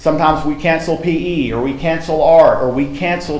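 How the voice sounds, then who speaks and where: A man with an American accent speaks at a fairly quick pace and fairly high pitch in a monotone, flat intonation, with audible room echo and noticeable background noise. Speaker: school principal. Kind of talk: presentation at school board meeting.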